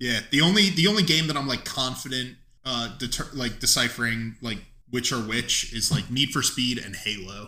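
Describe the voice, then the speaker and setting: A man talks loudly at a moderate pace with a medium pitch and lively intonation. His tone is bright and sharp. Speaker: podcast host. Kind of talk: casual chat. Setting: studio, one mic on table.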